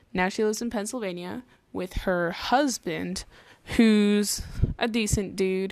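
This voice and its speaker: A woman with an American accent speaks at a medium pitch with fairly even intonation on a very clean recording with a silent background. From US West Coast. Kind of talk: casual monologue. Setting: home bedroom. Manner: rambling casual.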